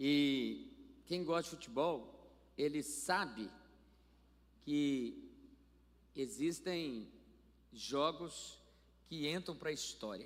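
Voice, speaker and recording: With audible room echo, a man at a fairly high pitch speaks at a very slow pace with ordinary pitch variation and long, frequent pauses. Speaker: pastor. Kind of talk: sermon. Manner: animated.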